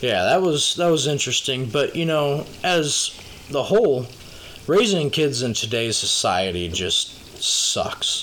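A man with an American accent talks at a fairly high pitch and a fairly slow pace, with very wide pitch swings. Noticeable background noise runs beneath him. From Minnesota. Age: 20s. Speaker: podcast co-host. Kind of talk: casual chat.

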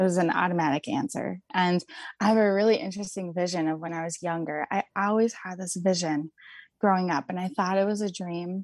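A woman with an unremarkable speaking voice, medium pitch, ordinary pitch variation and a fairly quick pace, in a dry, close sound with no echo over a quiet background. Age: 20s. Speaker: mother and nutrition advocate, trauma survivor. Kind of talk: interview conversation.

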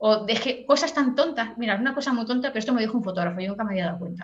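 A woman speaks at a very fast pace in a fairly high pitch, her intonation lively. Audible room echo surrounds her voice. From Catalonia, Spain (Tarragona area). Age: 40s. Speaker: professional makeup artist. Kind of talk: casual interview chat.

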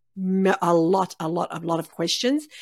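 A woman talks at a fairly slow pace. Her recording is very clean, the background silent. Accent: Australian. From Melbourne, Australia. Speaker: cancer survivor. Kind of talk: casual interview chat.

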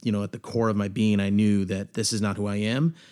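Recorded very cleanly against a silent background, a man with an ordinary speaking voice and a fairly low pitch talks at a moderate pace with fairly even intonation. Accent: American. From Seattle area, US Pacific Northwest. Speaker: coffee shop owner, recovering addict. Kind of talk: testimony. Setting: studio.

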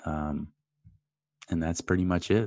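In a Canadian accent, a man speaks at a fairly slow pace with a very deep, low pitch. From Canada, Great Lakes area. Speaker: forex trader and trading educator. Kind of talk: interview.

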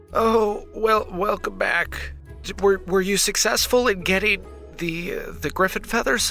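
Over clear background music, a man does a put-on character voice that is nasal and high-pitched, moving at a fairly slow pace.

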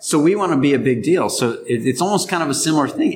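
With vocal fry and an animated tone, the speaker talks at a moderate pace through very wide pitch swings. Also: man. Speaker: podcast co-host. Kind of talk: casual banter, joking. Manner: jokey, animated.

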